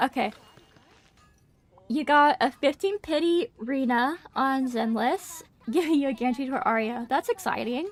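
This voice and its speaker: A soft-spoken woman at a high pitch, with ordinary pitch variation and a dry, close sound with no echo. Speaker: gaming streamer. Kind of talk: live stream chat while gaming. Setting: live stream. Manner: hesitant, many fillers.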